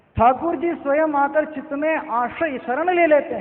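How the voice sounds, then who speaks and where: A man speaks while noticeable background noise fills the recording. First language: not Hindi (speaking Hindi). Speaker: devotee speaker at scripture discourse. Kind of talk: devotional sermon.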